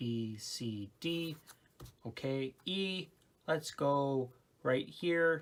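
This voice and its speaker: Here a man talks at a very slow pace. His pitch is medium. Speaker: school band teacher. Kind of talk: tutorial. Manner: casual, frequent okay fillers.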